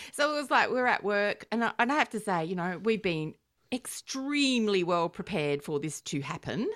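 A woman with an Australian accent, medium pitch and very wide pitch swings at a moderate pace, in a dry, close sound with no echo and a very clean recording with a silent background. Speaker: podcast host. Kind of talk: casual banter podcast. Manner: dry, humorous.

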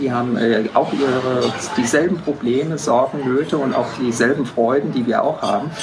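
Music runs in the background while a man speaks at a moderate pace. His pitch is medium, with ordinary variation. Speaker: photographer. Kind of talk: interview. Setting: restaurant. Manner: hesitant, many fillers.

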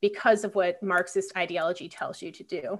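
At a moderate pace and medium pitch, a woman speaks in a plain, everyday voice. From Philadelphia, US. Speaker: political science professor. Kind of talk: interview.

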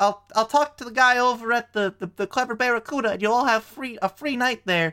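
In a put-on character voice, a female-sounding speaker uses a fairly high pitch on a very clean recording with a silent background. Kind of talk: comic overacting. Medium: actual play. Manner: folksy, fussy exclamations.

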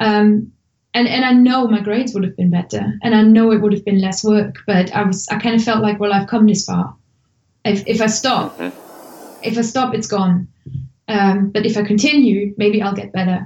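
A somewhat breathy woman's voice with a German accent. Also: medium pitch for a woman, fairly even intonation, moderate pace. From Germany. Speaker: language tutor and blogger. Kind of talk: podcast interview.

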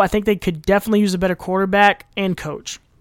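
An animated voice moves at a fairly quick pace on a very clean recording with a silent background. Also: man. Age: 20s. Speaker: podcast host. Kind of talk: casual chat.

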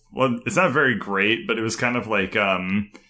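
Moderate-paced speech from a man at a fairly low pitch, bright and sharp in tone, in a very clean recording with a silent background. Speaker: gaming podcast host. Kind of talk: casual chat.

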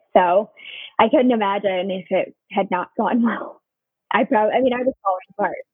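A woman talks at medium pitch and a moderate pace, with ordinary pitch variation. She has an unremarkable speaking voice. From Southern California. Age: 30s. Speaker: nurse. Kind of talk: casual interview.

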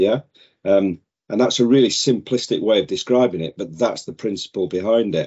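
A man with a British accent talks at a fairly quick pace, with a medium pitch and ordinary pitch variation. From northern England. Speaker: safety sales director. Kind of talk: casual chat.

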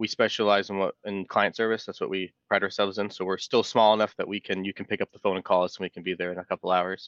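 The man speaks at a very fast pace. The sound is dry and close with no echo, over a quiet background. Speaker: environmental engineer. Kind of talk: interview. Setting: remote call.

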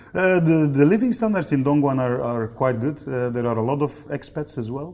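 A man with a Dutch accent, a dark, mellow tone and a moderate pace. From Belgium (East Flanders). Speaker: factory general manager. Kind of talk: interview.

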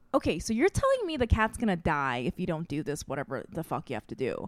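A woman talks at a very fast pace with vocal fry and very wide pitch swings, her voice dry and close with no echo on a very clean recording against a silent background. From Saipan, Micronesia (born in Korea, high school in Korea). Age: 30s. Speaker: comedian and podcast host. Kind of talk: casual chat.

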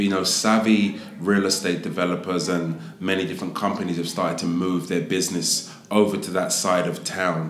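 Noticeable background noise sits under speech at a moderate pace with hardly any pauses. The intonation stays fairly even. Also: man, very deep, low pitch for a man. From Southeast London. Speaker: hotel executive. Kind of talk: casual interview.

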